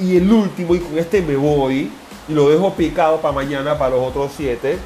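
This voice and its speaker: A man's animated voice with ordinary pitch variation, noticeable background noise, and audible room echo. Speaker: personal trainer podcaster. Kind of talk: solo podcast monologue. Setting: gym office.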